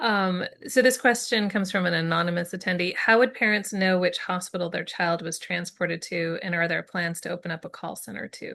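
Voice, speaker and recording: A woman with a plain, everyday voice talks at a fairly quick pace with hardly any pauses. Her medium pitch has ordinary variation, and her loudness swings widely. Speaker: webinar moderator. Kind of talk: webinar Q&A and closing.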